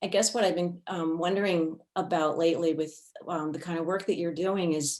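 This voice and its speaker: A woman's fairly low-pitched voice proceeds at a moderate tempo. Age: 60s. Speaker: participant asking question. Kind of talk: casual discussion. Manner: halting.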